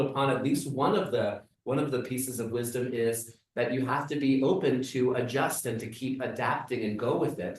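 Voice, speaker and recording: A man talks at medium pitch with a normal speaking voice. His pace is moderate. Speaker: rabbi. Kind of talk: interviewer questions.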